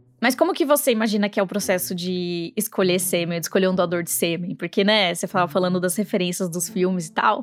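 A woman talks at a very fast pace, her medium pitch showing ordinary variation. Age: 30s. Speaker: podcast host. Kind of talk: scripted conversational podcast.

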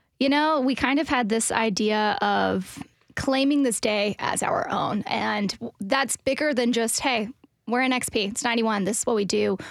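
A woman with an unremarkable speaking voice, fairly high in pitch, at a moderate pace with ordinary pitch variation and very even loudness. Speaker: radio station events and promotion director. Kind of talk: casual interview. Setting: studio.

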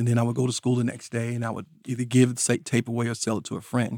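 A man with a Southern US accent, in a dry, close sound with no echo and a very clean recording with a silent background. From rural North Carolina. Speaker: DJ and mixtape artist. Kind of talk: interview. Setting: studio.

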